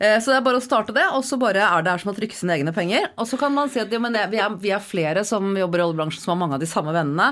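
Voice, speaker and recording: Very fast, animated delivery with lively intonation and hardly any pauses. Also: woman, medium pitch for a woman. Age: 40s. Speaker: podcast co-host. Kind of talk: casual chat. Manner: animated, laughing.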